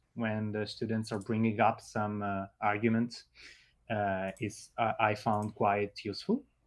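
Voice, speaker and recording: A man at a medium pitch with an Italian accent, speaking at a very slow pace in a very clean recording with a silent background. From Italy. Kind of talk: interview. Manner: halting, many fillers.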